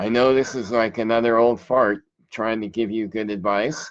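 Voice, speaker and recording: The speaker is a man with a normal speaking voice. His delivery has a moderate pace and ordinary pitch variation. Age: 60s. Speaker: relationship coach. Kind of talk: live video monologue. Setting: live online show. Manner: casual.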